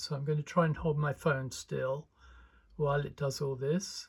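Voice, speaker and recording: A man speaks at a moderate pace in a fairly high, somewhat breathy voice. The recording is very clean, with a silent background. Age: 70s. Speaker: animator and video creator. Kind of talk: casual tutorial demo.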